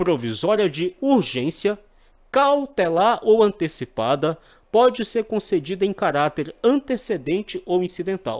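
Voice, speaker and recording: A man talks at a fairly slow pace and a high pitch, swinging very widely in pitch. The recording is very clean, with a silent background. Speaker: exam prep teacher. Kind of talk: tutorial.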